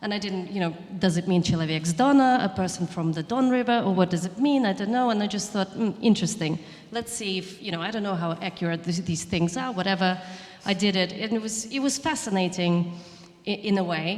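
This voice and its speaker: Someone with a Russian accent talks at a very fast pace with ordinary pitch variation over noticeable background noise. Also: woman, medium pitch for a woman. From southern Ukraine. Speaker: chef and writer. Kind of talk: panel discussion. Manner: halting, many restarts.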